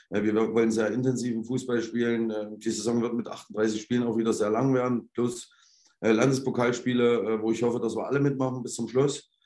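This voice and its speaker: Amid audible room echo, a man with a dark, mellow tone and medium pitch talks at a moderate pace in a monotone, flat intonation. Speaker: football head coach. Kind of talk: interview. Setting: remote call from the stadium.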